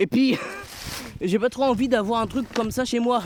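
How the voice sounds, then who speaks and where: Loud and at a moderate pace, a man speaks. Noticeable background noise sits behind him. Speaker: vlogger picking up litter. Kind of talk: casual vlog monologue. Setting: outdoors in nature.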